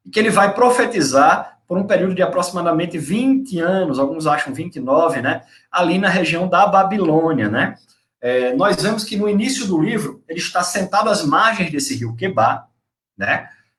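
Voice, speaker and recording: A man with a northeastern Brazilian accent speaks in a high voice with lively intonation. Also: moderate pace. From Brazil, Northeast (Natal, Rio Grande do Norte). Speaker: preacher / Bible teacher. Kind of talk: sermon / Bible teaching. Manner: conversational, with fillers and tag questions.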